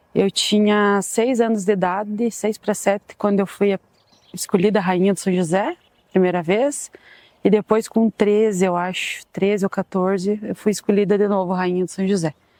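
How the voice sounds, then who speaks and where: A woman speaks at a moderate pace in a medium pitch with fairly even intonation. Her dark, mellow tone comes through a dry, close sound with no echo. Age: 30s. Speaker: club supporter. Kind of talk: documentary interview.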